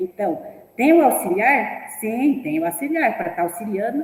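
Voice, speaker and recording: A woman with a non-native accent, high pitch and lively intonation at a moderate pace, over noticeable background noise. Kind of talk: teacher training talk. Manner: halting.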